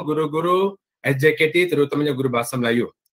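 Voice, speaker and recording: Pitch varies in an ordinary way, at a moderate pace. It is a plain, everyday voice. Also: man. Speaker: head teacher and council president. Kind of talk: welcome speech.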